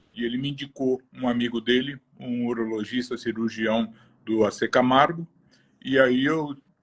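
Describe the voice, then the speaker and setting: At a fairly slow pace, the speaker uses ordinary pitch variation in a dry, close sound with no echo. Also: man. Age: 60s. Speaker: cancer patient. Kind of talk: testimony.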